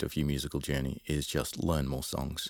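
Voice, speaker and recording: Vocal fry runs through the speech. The recording is very clean, with a silent background. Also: man. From London, England. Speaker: musician and music teacher. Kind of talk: casual interview chat.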